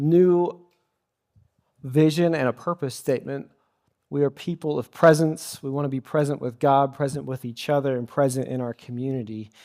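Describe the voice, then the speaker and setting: In a dry, close recording with no echo, a man with a normal speaking voice talks at a moderate pace, his pitch fairly high and his intonation fairly even. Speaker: pastor, sermon speaker. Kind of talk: church sermon, preaching to a congregation. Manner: conversational, audience-interactive.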